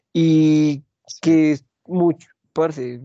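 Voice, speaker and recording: Against a quiet background, a man's dark, mellow voice comes through dry and close with no echo. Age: 30s. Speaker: podcast host. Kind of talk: casual chat.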